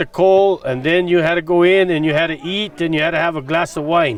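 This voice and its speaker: A high-pitched man with an American accent, a moderate pace, fairly even intonation and noticeable background noise. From Sopris, southern Colorado. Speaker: former resident. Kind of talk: interview reminiscence.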